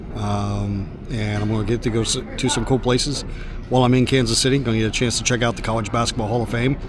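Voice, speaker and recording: A man speaks at a very fast pace with a medium pitch and fairly even intonation. Noticeable background noise runs underneath. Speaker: voice actor. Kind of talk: casual talk to camera.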